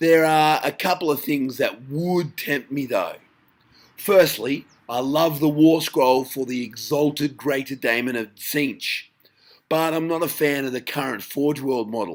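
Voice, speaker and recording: On a very clean recording with a silent background, a man with an Australian accent speaks at a fairly slow pace, his fairly high pitch carrying fairly even intonation. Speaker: tabletop gaming youtuber. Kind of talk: casual vlog commentary.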